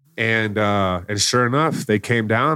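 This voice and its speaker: On a very clean recording with a silent background, a man at medium pitch speaks with a Texan accent. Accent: Texan American. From Texas, Plano. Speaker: author and network marketer. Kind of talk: interview. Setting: studio.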